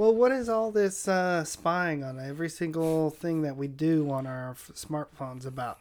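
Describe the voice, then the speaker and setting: A man with a plain, everyday voice speaks at a moderate pace with an American accent and fairly high pitch. His loudness swings widely, and he hardly pauses. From San Diego, California. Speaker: podcast guest. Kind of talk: casual chat.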